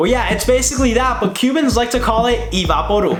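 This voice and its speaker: A man speaks against noticeable background noise. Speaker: YouTuber, college student. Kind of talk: casual talk to camera.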